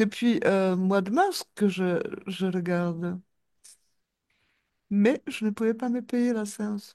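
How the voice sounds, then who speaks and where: A woman with a dark, mellow tone speaks at a very slow pace, with ordinary pitch variation and long, frequent pauses. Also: medium pitch for a woman. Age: 60s. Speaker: hypnosis client. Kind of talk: post-session debrief.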